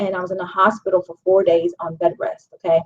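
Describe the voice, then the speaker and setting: A woman with an unremarkable speaking voice talks at a fairly quick pace and medium pitch. The sound is dry and close, with no echo. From Pittsburgh, Pennsylvania, US. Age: 40s. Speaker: vegan chef and life coach. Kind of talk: personal testimony and book promotion. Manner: casual, many filler ums.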